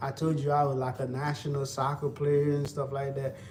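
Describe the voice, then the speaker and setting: A man with a Haitian accent talks in a relaxed tone at a fairly high pitch. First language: Haitian Creole. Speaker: livestreamer. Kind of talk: casual livestream chat while cooking. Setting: live stream. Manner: relaxed, repetitive.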